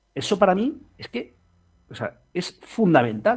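The recording is very clean, and the background is silent. The man's pitch swings very wide as he talks. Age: 40s. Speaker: fintech co-founder. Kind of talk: interview. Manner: animated.

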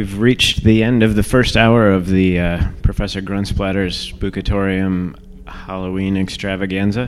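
Against noticeable background noise, a man speaks in a relaxed tone. His intonation stays fairly even. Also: fairly low pitch for a man, moderate pace. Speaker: radio host. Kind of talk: casual radio show hosting between tracks. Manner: carnival barker persona in the intro, then relaxed and casual.

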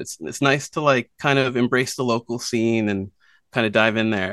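A man talks at a fairly quick pace against a quiet background, the sound dry and close with no echo. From Nova Scotia, Canada. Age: 30s. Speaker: musician. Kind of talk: interview. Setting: video call. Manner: hesitant, many fillers.

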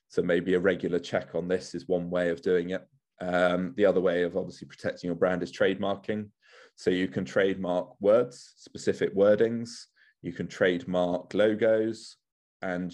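A man's very deep, low voice at a moderate pace, fairly even in intonation, against a quiet background. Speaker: lawyer. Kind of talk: webinar presentation.

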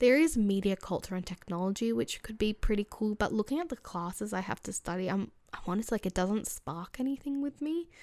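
Against a silent background in a very clean recording, a woman with an Australian accent talks at a fairly quick pace with lively intonation. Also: medium pitch for a woman. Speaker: podcast host. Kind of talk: casual solo talk. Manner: chatty, laughing often.

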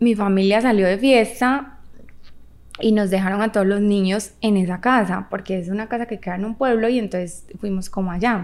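Speaking at a moderate pace, a woman with a Medellín Colombian accent uses a fairly high pitch. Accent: Colombian paisa (Medellín). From Colombia, Medellín. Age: 30s. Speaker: actress and model. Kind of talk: casual chat.

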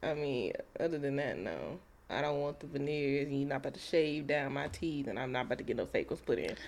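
The speaker talks at a very fast pace with vocal fry. The intonation stays fairly even. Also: woman, very deep, low pitch for a woman. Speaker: podcast co-host. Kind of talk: casual chat.

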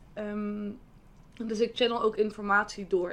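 A woman's voice at a fairly high pitch. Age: 20s. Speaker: hypnotherapist. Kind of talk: casual chat.

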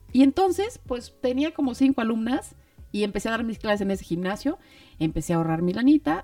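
Talking at a fairly quick pace, a woman with a fairly high voice makes very wide pitch swings. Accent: Mexico City. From Mexico City. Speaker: podcast co-host, mother of the other host. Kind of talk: casual chat.

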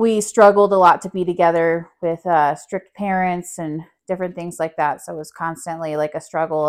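A woman's normal speaking voice, fairly low in pitch, at a fairly quick pace with ordinary pitch variation and big swings in loudness over a quiet background. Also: hardly any pauses. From New Mexico, US. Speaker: mother and studio co-founder. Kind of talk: casual chat.

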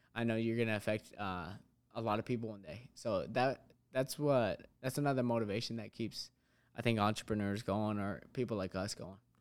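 A man of medium pitch speaks in a normal speaking voice at a fairly quick pace with fairly even intonation. The recording is very clean, with a silent background. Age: 20s. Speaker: fitness business owner. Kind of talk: casual interview.

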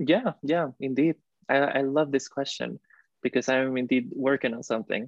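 The speaker has a Spanish accent and a moderate pace. Pitch varies in an ordinary way. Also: man, medium pitch for a man. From Costa Rica. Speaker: recent graduate student. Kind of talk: interview. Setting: video call.

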